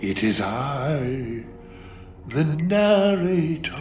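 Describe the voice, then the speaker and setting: Clear music plays as a man does a put-on character voice in a fairly high pitch. His pitch swings very widely. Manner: odd, put-on narrator voice.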